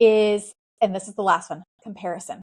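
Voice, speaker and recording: With a Southern US accent, a woman speaks at a fairly high pitch in a dry, close recording with no echo. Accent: Southern US, noticeable. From US South, South Carolina. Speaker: podcast host. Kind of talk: motivational faith podcast monologue. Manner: casual, conversational.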